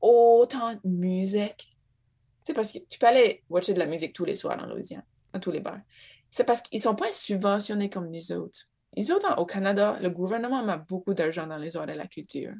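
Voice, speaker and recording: Against a quiet background, a woman with an Acadian accent talks at a moderate pace in a medium pitch with ordinary pitch variation and a dark, mellow tone. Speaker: Acadian cultural organization worker. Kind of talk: casual chat.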